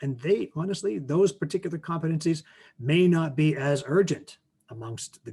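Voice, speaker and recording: Somewhat breathy, the voice moves at a moderate pace with a western Canadian accent. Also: man. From Canada. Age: 50s. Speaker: teacher and author. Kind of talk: presentation Q&A.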